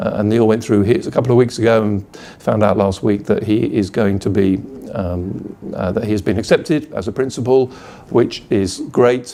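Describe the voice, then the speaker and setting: At a moderate pace, a man with a British accent speaks at a fairly low pitch with ordinary pitch variation. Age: 50s. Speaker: school principal. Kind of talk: video blog to parents. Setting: office. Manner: hesitant, many fillers.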